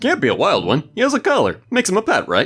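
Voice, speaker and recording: A man puts on a character voice, pitched extremely high, racing along very fast at a very even loudness. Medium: solo performance. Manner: casual, laid-back.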